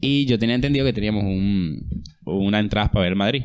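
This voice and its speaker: A man talks at a moderate pace with a fairly low pitch and lively intonation. It is an ordinary speaking voice. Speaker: podcast co-host. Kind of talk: casual chat.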